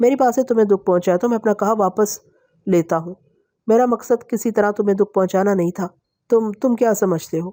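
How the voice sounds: Over a quiet background comes a natural reading voice whose pitch varies in an ordinary way.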